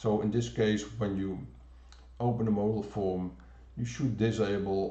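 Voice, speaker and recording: Speaking in a Dutch accent with audible room echo, a man with a fairly low pitch and a dark, mellow tone talks at a fairly slow pace with lively intonation. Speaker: software developer presenter. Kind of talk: pre-recorded technical demo. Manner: halting, many fillers.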